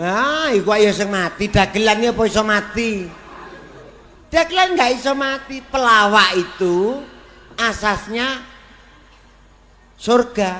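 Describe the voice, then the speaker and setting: The speech moves at a very slow pace, with long, frequent pauses. Noticeable background noise runs underneath. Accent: East Javanese. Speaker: comedian. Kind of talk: comedy sketch dialogue.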